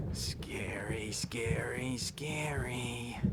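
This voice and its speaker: Someone whispers in a put-on character voice over loud background noise. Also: man. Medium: game stream. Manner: playful, eerie, singsong.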